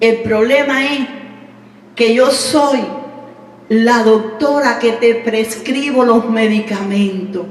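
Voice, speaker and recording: Against noticeable background noise and audible room echo, a woman speaks at a fairly high pitch with ordinary pitch variation. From Cuba. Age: 60s. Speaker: pastor. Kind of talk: testimony.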